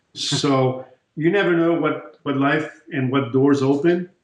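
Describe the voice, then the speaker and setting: Through audible room echo, a man with a fairly high pitch speaks at a very slow pace with fairly even intonation. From France. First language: French. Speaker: chiropractor. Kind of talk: interview.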